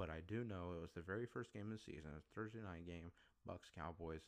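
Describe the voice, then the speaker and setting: A man with a very deep, low pitch and vocal fry talks at a very fast pace with lively intonation. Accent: American. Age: 20s. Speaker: podcast host. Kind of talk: solo podcast monologue. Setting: home recording setup.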